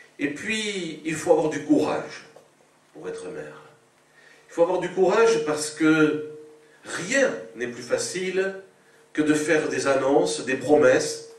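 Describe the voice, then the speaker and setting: A man speaks very slowly at a fairly high pitch, with lively intonation, big swings in loudness and long, frequent pauses. The room echoes audibly and background noise is noticeable. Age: 60s. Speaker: politician. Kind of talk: political speech. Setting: public meeting. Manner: hesitant with frequent euh.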